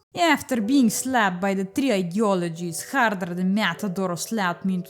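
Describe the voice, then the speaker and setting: Music plays in the background. A woman talks with lively intonation. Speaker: gaming YouTuber. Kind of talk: comedic video game commentary narration.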